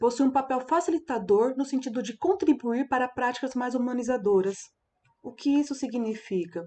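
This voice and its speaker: A woman speaks at a fairly high pitch with lively intonation. Her tone is dark and mellow, against a quiet background. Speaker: teacher educator giving a talk. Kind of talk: lecture.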